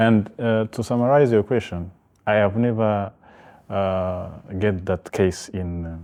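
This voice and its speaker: A man's fairly low voice, dark and mellow in tone, with fairly even intonation against a quiet background. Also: fairly slow pace. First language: French. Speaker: human rights organisation founder, master's student. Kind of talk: interview. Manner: halting, many fillers.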